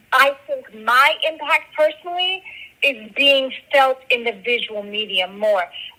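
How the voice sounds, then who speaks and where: A woman's raised, projected voice, high in pitch, at a fairly slow pace with ordinary pitch variation, over noticeable background noise. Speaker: musician and filmmaker. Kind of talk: interview.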